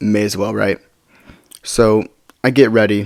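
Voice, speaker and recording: The speaker is a man. His pitch is fairly low. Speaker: storytime youtuber. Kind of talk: casual storytelling. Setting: at home late at night. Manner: quieter than usual; repetitive, stumbling.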